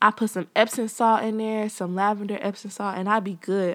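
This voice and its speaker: A woman has an unremarkable speaking voice at a fairly high pitch. She keeps a moderate pace. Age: 20s. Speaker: podcast host, college student. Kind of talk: casual solo monologue. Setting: at home.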